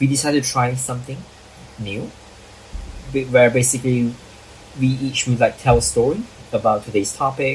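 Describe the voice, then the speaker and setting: Over noticeable background noise, a man at medium pitch speaks at a fairly quick pace with fairly even intonation and long, frequent pauses. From Malaysia. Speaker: podcast host. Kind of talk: casual chat.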